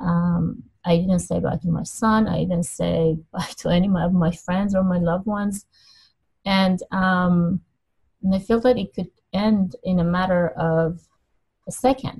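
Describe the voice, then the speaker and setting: Somewhat breathy, a woman speaks at a fairly slow pace with a dark, mellow tone, medium pitch and fairly even intonation. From Middle East, Iranian parents. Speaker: life coach. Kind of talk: interview. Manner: halting, many fillers.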